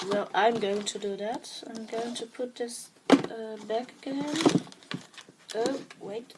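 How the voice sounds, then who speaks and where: A woman with a Dutch accent speaks at a fairly high pitch and a very slow pace, with long, frequent pauses. Noticeable background noise can be heard. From Netherlands. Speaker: art journaling vlogger. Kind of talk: show-and-tell tutorial. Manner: halting, many fillers; enthusiastic.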